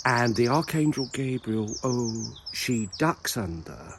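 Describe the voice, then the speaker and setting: With a Southern English accent, a man speaks at a very slow pace over noticeable background noise. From Southern England. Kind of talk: casual comedic talk to camera while walking. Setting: outdoors. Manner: rambling, whimsical.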